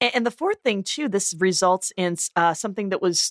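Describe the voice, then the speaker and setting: Using an unremarkable speaking voice, a woman talks at a medium pitch, her pitch varying in an ordinary way. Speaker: podcast co-host. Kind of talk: casual podcast discussion. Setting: studio.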